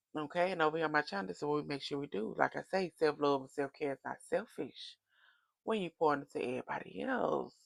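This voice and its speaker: The speaker goes at a very fast pace with lively intonation and vocal fry. The sound is dry and close, with no echo. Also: woman, very deep, low pitch for a woman. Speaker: tarot oracle reader. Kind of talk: casual direct-to-camera reading. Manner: animated, preachy.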